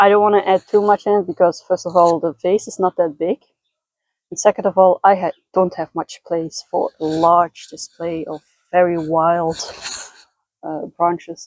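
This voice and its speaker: A woman with a Dutch accent speaks at a fairly low pitch with big swings in loudness, recorded dry and close with no echo. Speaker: lifestyle vlogger. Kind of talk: casual vlog narration. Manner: slow; halting.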